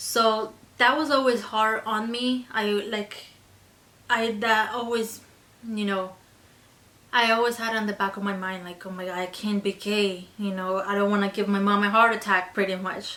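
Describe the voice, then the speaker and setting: A woman of medium pitch in a Spanish accent, moderately paced, with fairly even intonation, over noticeable background noise. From Colombia. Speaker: beauty vlogger. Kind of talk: casual chat.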